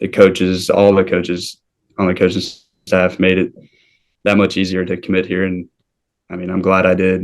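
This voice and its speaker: At a moderate pace and with a slight Southern US accent, the speech is monotone and flat, broken by long, frequent pauses over a quiet background. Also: man, very deep, low pitch for a man. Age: young. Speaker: college baseball player. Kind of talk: interview.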